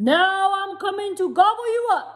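The pitch climbs extremely high. It is a put-on character voice. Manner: roaring, menacing.

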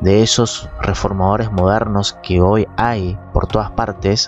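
Faint music plays behind a man speaking at a very slow pace and a fairly low pitch, with a dry sound and no echo. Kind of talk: commentary. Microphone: studio mic.

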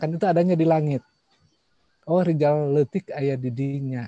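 Man with a somewhat breathy, dark, mellow tone, fairly quick, with ordinary pitch variation, dry sound with no echo, and a quiet background. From West Java (Sundanese), Indonesia. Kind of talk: online panel presentation. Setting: video call. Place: home room.

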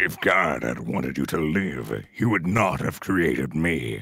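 A man's put-on character voice, very deep and low, raspy, at a fairly slow pace. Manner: menacing, dramatic.

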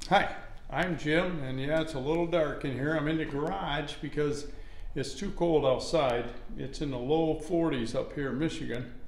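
A man speaks with fairly even intonation. Audible echo fills the room. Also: moderate pace. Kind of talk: casual tutorial vlog. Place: garage. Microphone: phone near.

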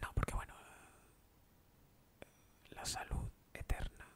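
In a whisper, a man delivers his words fairly slowly. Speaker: ASMR creator. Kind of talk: soft-spoken ASMR Q&A chat. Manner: soft close-mic ASMR murmur. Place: home room. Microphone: studio mic.

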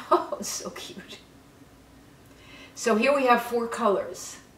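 In a room with audible echo and light background noise, a woman speaks at a very slow pace with a fairly high pitch and lively intonation. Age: 70s. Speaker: beauty vlogger. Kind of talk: makeup tutorial. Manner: animated. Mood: delighted, enthusiastic.

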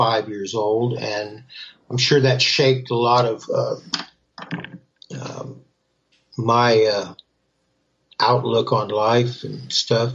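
A man with an American accent talks very slowly at a medium pitch. His voice is somewhat breathy, and his intonation stays fairly even. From Central Florida. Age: 70s. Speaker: rock guitarist and songwriter. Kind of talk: casual interview chat.

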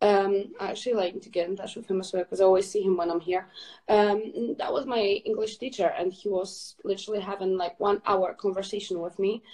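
A woman with a slight Scottish accent speaks at a fairly quick pace, her intonation fairly even and hardly any pauses between words. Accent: Scottish-tinged English. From Poland. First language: Polish. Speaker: fitness ambassador; guest. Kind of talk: casual chat. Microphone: video call.

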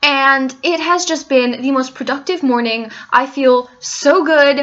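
A woman speaks at a very slow pace in a raised, projected voice. Behind her, the background is quiet. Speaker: vlogger. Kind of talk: casual vlog chat. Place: home room. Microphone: webcam.

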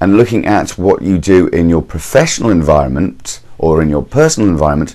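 At a moderate pace, this man talks with a very deep, low pitch. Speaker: motivational speaker. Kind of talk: motivational talk to camera.

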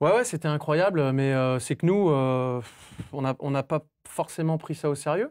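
A man talks at a fairly slow pace over a quiet background. His pitch varies in an ordinary way. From western France, Cholet; France. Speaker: football coach. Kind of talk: casual chat. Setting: studio. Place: studio. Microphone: lapel.

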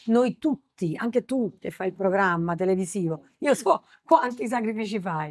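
Big swings in loudness mark a woman's speech at a moderate pace, with a dry, close sound and no echo. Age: middle-aged. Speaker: singer. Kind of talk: interview. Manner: soft-spoken.

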